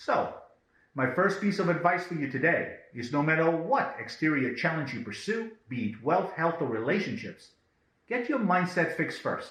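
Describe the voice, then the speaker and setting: In a room with audible echo, a man with a high voice speaks at a moderate pace, his pitch swinging very widely. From Israel, then South Africa and Belgium as a teen. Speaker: self-development video host. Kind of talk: scripted monologue.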